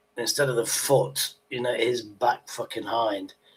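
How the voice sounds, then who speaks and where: This is a man speaking with a British accent. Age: 60s. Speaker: livestream host. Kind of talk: casual chat. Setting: livestream. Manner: animated.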